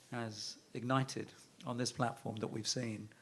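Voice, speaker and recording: In a British accent, a man speaks at a medium pitch with monotone, flat intonation. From London, England. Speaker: investment firm chairman, panelist. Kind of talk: panel discussion.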